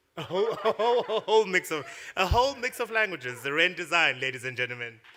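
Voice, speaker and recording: A man with a South African accent talks at a very fast pace in a high pitch. His tone is bright and sharp, with very wide pitch swings. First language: Xhosa. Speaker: awards ceremony host. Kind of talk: awards ceremony presenting.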